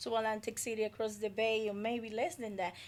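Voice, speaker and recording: A woman speaks with a Dominican accent at a fairly high pitch. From Dominican Republic. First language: Spanish. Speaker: community development advocate. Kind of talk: radio interview. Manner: halting.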